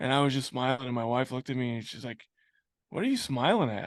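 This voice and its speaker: A very fast-talking man at a medium pitch. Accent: American. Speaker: business owner. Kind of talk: interview. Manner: pauses to breathe; casual.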